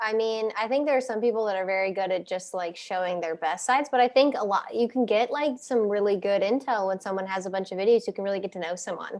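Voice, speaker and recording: This woman talks at a very fast pace with hardly any pauses, in a slight Midwestern accent. Her pitch is medium, and its variation is ordinary. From US Midwest, Cincinnati. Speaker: podcast guest, content creator. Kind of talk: casual chat.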